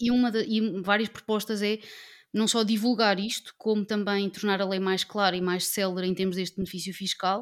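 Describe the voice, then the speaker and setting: Against a silent background in a very clean recording, a woman speaks at a medium pitch and moderate pace with monotone, flat intonation. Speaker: political party representative, panelist. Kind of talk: political panel discussion.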